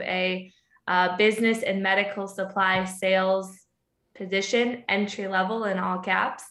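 In a room with audible echo, a woman of medium pitch talks at a fairly slow pace with a bright, sharp tone. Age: 20s. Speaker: sales leader. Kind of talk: casual interview. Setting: remote call.

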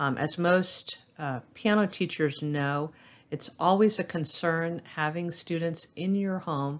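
In an American accent, the speaker talks at a fairly slow pace. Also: woman, very clean recording, silent background. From US South, Florida (Orlando). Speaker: piano teacher. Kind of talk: casual chat. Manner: hesitant, many fillers.

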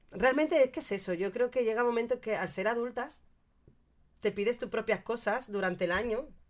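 A woman's fairly high, animated voice at a fairly quick pace, with ordinary pitch variation. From Andalusia, Cádiz. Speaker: podcast co-host. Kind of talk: casual chat. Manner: animated, frequent laughter.

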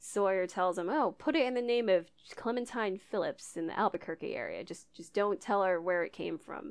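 A woman with an American accent and a plain, everyday voice talks at a fairly quick pace with hardly any pauses, medium pitch and lively intonation against a quiet background. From Idaho, US. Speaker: podcast host. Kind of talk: casual chat, episode recap.

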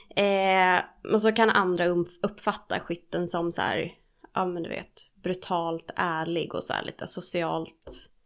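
Very slowly and in a monotone, flat way, a woman talks at a fairly low pitch in a very clean recording with a silent background. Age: 30s. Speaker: podcast co-host, studying to be a recovery therapist. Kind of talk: casual chat.

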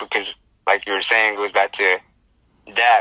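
With a fairly quick pace and an American accent, a man speaks in a dry, close sound with no echo. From Navajo Nation, US Southwest. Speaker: rapper. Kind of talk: interview. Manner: casual, halting with fillers.

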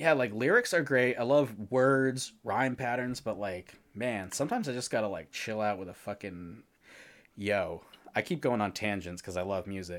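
A plain, everyday voice talks at a medium speed, with its pitch moving normally. The audio is very clean, and nothing can be heard behind it. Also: man, medium pitch for a man. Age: 30s. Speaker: podcast host and artist. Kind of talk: casual chat. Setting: live stream.

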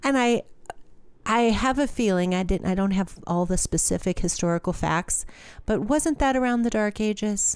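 Very even in loudness, a woman talks at a moderate pace with a medium pitch and lively intonation in a very clean recording with a silent background. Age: 50s. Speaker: podcast co-host, music person at a church. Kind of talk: casual faith chat.

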